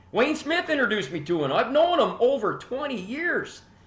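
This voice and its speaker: With a Canadian accent, a man speaks at a moderate pace with very wide pitch swings, and audible room echo surrounds him. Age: 60s. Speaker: hockey podcast host. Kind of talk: casual monologue.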